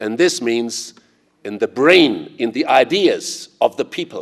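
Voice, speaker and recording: The speaker is a man with a German accent. He goes at a fairly slow pace. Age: 60s. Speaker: investor and conference speaker. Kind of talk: conference speech.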